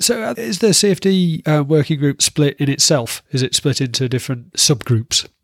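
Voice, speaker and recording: A man with a Yorkshire accent speaks with lively intonation, a fairly high pitch and hardly any pauses. The recording is very clean, with a silent background and a dry, close sound with no echo. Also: moderate pace. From Yorkshire, northern England. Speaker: podcast host. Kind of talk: interview.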